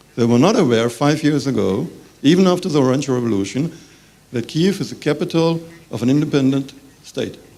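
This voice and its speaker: This man's voice sits fairly high for a man, with a dark, mellow tone and lively intonation, moving at a fairly quick pace with audible room echo. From Germany. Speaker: business representative. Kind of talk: conference panel talk. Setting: conference with audience. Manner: halting.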